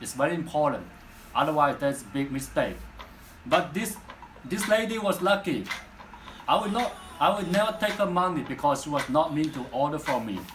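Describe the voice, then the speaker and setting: A man with a Chinese accent speaks at a fairly quick pace and a fairly high pitch, with lively intonation and long, frequent pauses. Noticeable background noise and audible room echo fill the recording. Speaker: hair extension vendor. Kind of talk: casual vlog talk.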